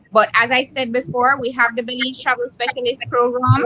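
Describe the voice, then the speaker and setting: The speaker talks at a fairly quick pace in a Jamaican accent. Noticeable background noise is present. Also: woman. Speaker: hotel association representative. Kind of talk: interview on video chat. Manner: enthusiastic.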